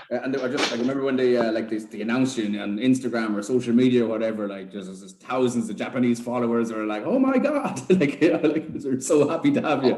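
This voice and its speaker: Over noticeable background noise and audible room echo, a man with an Irish accent talks at a very fast pace with hardly any pauses, medium pitch, ordinary pitch variation and big swings in loudness. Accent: Irish (Sligo). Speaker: podcast host. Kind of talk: casual chat. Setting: video call.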